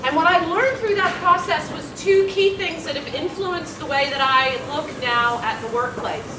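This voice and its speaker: A raised, projected voice with lively intonation moves at a moderate pace, with audible room echo and noticeable background noise. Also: woman. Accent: American. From USA. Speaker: workplace consultant, conference speaker. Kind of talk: conference presentation. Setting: room with audience, no microphone. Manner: loud. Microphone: no microphone.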